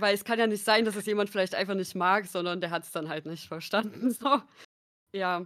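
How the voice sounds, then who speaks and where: In a very clean recording with a silent background, a woman with a plain, everyday voice speaks fairly quickly at medium pitch, with ordinary pitch variation and big swings in loudness. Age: 20s. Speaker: content creator and sociology student. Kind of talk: casual chat.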